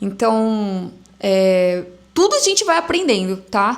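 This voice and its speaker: A woman speaks over noticeable background noise. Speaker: entrepreneur and influencer. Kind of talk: casual vlog monologue. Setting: recording at home on a camera. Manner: stammering.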